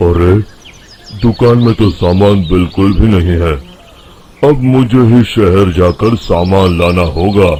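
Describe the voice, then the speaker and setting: In a put-on character voice, a man speaks gruffly with a very deep, low pitch, very even loudness, and a fairly slow pace. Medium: cartoon.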